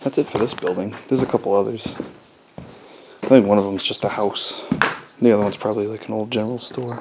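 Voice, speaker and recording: Speech comes very fast with fairly even intonation, broken by long, frequent pauses. Background noise is noticeable. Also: man, fairly low pitch for a man. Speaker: travel vlogger. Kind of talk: casual walkthrough narration. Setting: outdoors. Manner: relaxed, hesitant with fillers.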